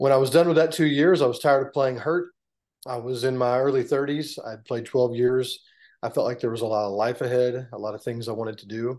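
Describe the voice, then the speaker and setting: With an American accent, a man talks at a fairly quick pace at a medium pitch, his loudness swinging widely. It is an unremarkable speaking voice over a quiet background. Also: ordinary pitch variation. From Texas. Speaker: former NFL punter and political candidate. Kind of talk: interview.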